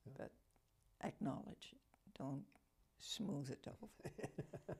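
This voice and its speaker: The speaker whispers at a very slow pace. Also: woman. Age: 80s+. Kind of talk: interview answer.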